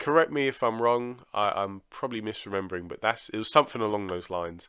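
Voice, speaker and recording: A man's very fast delivery at medium pitch, bright and sharp in tone with ordinary pitch variation, in a very clean recording with a silent background. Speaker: boxing commentator / YouTuber. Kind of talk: casual video commentary.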